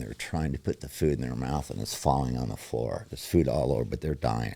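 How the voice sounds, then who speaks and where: With vocal fry and a dark, mellow tone, a man speaks at a very deep, low pitch. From born in New York, raised elsewhere. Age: 60s. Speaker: recovering alcoholic, pool cleaner. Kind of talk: personal testimony in interview.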